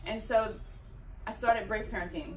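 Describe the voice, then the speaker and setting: A woman speaks at a fairly quick pace with a fairly high pitch. Noticeable background noise and audible room echo are present. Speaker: parenting speaker. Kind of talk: public talk. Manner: loud.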